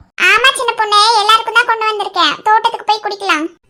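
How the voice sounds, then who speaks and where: Doing a cartoonish character voice, a woman speaks at a fairly quick pace with extremely high pitch and fairly even intonation. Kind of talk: cartoon comedy. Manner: brisk, bossy.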